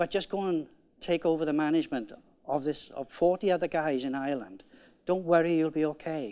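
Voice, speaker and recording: A man with a Welsh accent, fairly quick in pace and ordinary in pitch variation. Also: fairly high pitch for a man, very clean recording, silent background. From Wales. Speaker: conference keynote speaker, management coach. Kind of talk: conference keynote talk.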